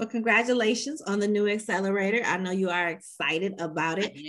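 Speaking at a fairly quick pace, a woman with an unremarkable speaking voice uses a fairly high pitch and ordinary pitch variation. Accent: American. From Chicago. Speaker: podcast host. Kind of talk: interview.

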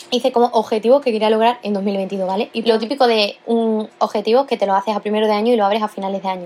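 A woman with an unremarkable speaking voice. Her pitch sits fairly high. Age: young. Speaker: podcast host. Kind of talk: casual solo monologue. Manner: casual, with many filler sounds.

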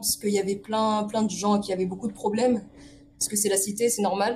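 Flat, monotone intonation amid noticeable background noise. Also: woman. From Paris region (Essonne). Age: 20s. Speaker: illustrator. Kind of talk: casual interview.

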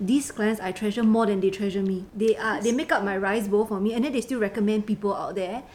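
Over noticeable background noise, a woman with a fairly high pitch talks at a very fast pace, with hardly any pauses and fairly even intonation. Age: 20s. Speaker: insurance agent. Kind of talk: casual chat.

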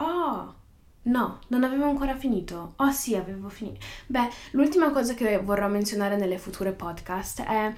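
A woman talks with lively intonation in a room with audible echo. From northern Italy. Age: young. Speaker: podcaster. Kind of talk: casual monologue. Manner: halting, with many fillers.

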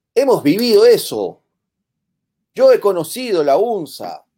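His pitch leaps across a very wide range. The man's tone is dark and mellow. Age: 40s. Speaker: political commentary host. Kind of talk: political talk show.

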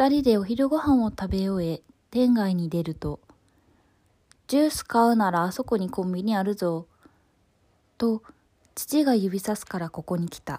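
Over a very clean recording with a silent background, a woman of medium pitch speaks in a dark, mellow tone at a moderate pace, with lively intonation, big swings in loudness and long, frequent pauses. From Osaka, Japan. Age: 20s. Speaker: essay narrator. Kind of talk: reading aloud a personal essay.

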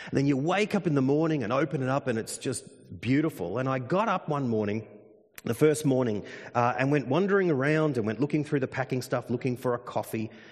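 A man with an Australian accent at a very fast pace, animated in tone, with lively intonation and a medium pitch. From Australia, country Victoria. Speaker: pastor. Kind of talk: sermon.

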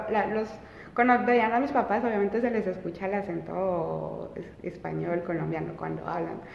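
There is audible room echo and noticeable background noise. A woman speaks at a moderate pace with medium pitch. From France, Colombia and Belgium; Colombian parents. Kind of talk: casual chat.

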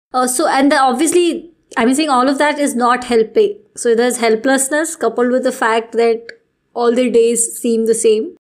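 A woman's voice sits high in pitch with ordinary variation. She keeps a moderate pace at a very even loudness. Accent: Indian. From Delhi, India. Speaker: podcast host. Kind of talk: casual chat.

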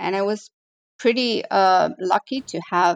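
A woman with a plain, everyday voice speaks at medium pitch with ordinary pitch variation, in a dry, close sound with no echo. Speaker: barista and trainer. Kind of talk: casual interview.

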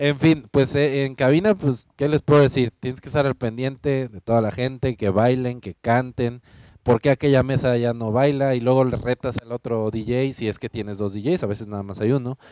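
A man at a medium pitch speaks with a dark, mellow tone and big swings in loudness, hardly pausing, in a dry, close recording with no echo. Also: ordinary pitch variation, moderate pace. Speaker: nightlife podcast host, former DJ. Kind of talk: casual chat.

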